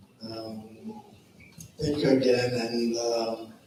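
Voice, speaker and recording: A man's medium-pitched, monotone, flat delivery, with audible room echo and noticeable background noise. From Quebec, Montreal. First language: French. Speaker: police officer. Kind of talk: short public remarks. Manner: halting with fillers.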